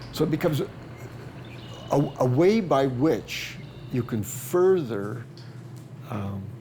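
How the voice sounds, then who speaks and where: Noticeable background noise sits behind a man talking at a very slow pace. His pitch is medium and his intonation lively. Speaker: plant scientist. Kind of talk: interview answer. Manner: hesitant, repeats words.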